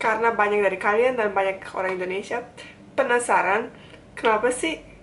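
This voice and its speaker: Noticeable background noise runs under a woman speaking with ordinary pitch variation. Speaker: vlogger. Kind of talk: casual vlog talk. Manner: fast when fluent, hesitant when searching words.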